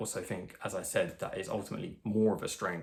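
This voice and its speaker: This man speaks with an English accent. His pace is fairly quick. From England. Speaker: social skills coach. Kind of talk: tutorial. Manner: fast.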